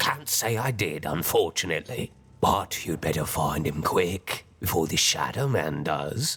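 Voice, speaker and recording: Putting on a character voice, a man speaks at a moderate pace with a very deep, low pitch. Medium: video game.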